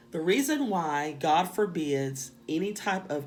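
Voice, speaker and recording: A woman's fairly low voice with a strong Southern US accent at a very slow pace, amid noticeable background noise and audible room echo. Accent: strong Southern drawl and country twang. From US South. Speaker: spiritual teacher. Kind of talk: lecture.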